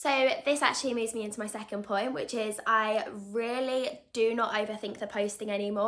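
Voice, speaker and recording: Noticeable background noise runs behind a woman's voice. She talks at a fairly quick pace and fairly high pitch, with ordinary pitch variation. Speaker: vlogger. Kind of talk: casual vlog talk to camera. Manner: chatty, continuous.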